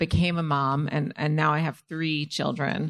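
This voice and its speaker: A woman's very deep, low pitch with fairly even intonation, a moderate pace and a quiet background. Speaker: playwright. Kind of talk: live panel interview. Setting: live event with audience.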